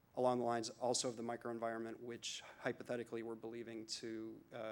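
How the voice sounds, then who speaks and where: A man's medium-pitched voice, monotone and flat in intonation, at a fairly quick pace. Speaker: physician researcher giving a conference talk. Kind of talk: conference lecture. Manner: fast.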